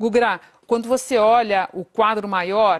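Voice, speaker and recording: With a quiet background, a woman talks using ordinary pitch variation. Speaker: news anchor. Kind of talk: live TV news anchoring, formal. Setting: TV studio. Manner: formal, measured, brisk. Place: studio. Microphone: lapel.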